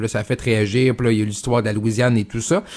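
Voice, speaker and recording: A man talks in a medium pitch. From Saguenay–Lac-Saint-Jean, Quebec. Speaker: fill-in radio host. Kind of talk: talk radio interviews. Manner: hesitant with many fillers.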